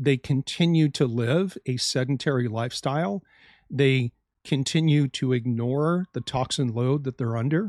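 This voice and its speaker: With an ordinary speaking voice at medium pitch, a man talks at a moderate pace with ordinary pitch variation in a very clean recording with a silent background and a dry, close sound with no echo. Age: 50s. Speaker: health podcast host, doctor. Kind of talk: solo educational podcast monologue.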